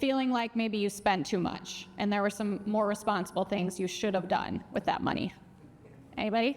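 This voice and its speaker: A woman speaks with a strong Minnesota accent. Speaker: financial educator and speaker. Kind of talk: conference talk. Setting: stage with audience.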